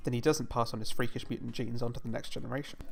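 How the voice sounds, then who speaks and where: A man talks at a very fast pace and a medium pitch, with vocal fry and fairly even intonation. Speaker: comedic revision video narrator. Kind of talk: comedic educational narration. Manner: sarcastic, irreverent.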